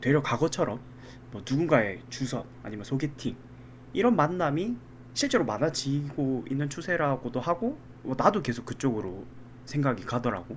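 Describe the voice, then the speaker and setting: With lively intonation, a man talks in a somewhat breathy voice at a fairly high pitch. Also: moderate pace. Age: 30s. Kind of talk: casual podcast conversation.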